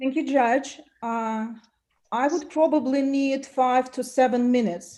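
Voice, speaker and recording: A woman with a non-native accent speaks at a fairly slow pace and a high pitch, with ordinary pitch variation and audible room echo. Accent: foreign. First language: not English. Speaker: self-represented litigant. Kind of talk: court hearing.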